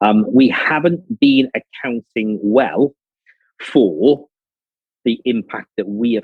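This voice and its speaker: The speaker is a man with a Liverpool accent. His pitch is fairly low. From northern England, Liverpool. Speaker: business executive. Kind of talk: conference talk.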